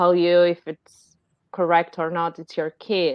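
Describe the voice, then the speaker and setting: A woman with an Argentine accent and a fairly low pitch. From Argentina. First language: Spanish. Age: 30s. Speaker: life coach and new mother. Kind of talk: casual chat. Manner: hesitant, many fillers.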